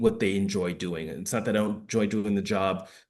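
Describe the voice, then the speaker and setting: Audible room echo surrounds a man speaking with an American accent. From New York. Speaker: former firefighter and public health expert. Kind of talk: lecture. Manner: fast.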